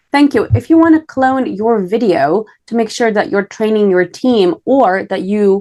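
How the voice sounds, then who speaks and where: With a non-native accent, a woman speaks at a moderate pace in a dark, mellow tone with lively intonation. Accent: foreign. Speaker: podcast host. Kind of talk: interview. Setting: podcast.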